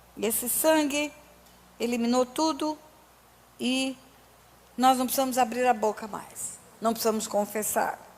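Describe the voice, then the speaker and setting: A woman's high-pitched, fairly slow speech with fairly even intonation and long, frequent pauses, over noticeable background noise. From Resende, Rio de Janeiro, Brazil. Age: 60s. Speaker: pastor. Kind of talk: sermon.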